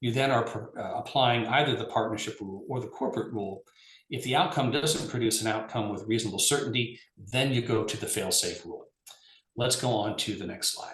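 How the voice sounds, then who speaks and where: Talking at a fairly quick pace, a man keeps a medium pitch with ordinary pitch variation. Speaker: lawyer presenting on regulation. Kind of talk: webinar presentation. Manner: fast.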